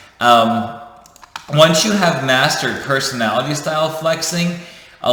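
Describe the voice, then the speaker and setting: A man speaks amid noticeable background noise. Audible room echo surrounds his voice. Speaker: leadership coach, YouTuber. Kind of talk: casual teaching monologue. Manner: fast; animated.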